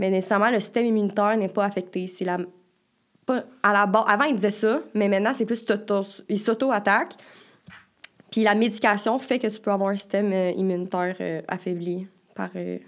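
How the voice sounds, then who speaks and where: In a Quebec accent, a woman speaks at a moderate pace and medium pitch, keeping her intonation fairly even and leaving long, frequent pauses. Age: 20s. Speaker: university student. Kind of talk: casual interview.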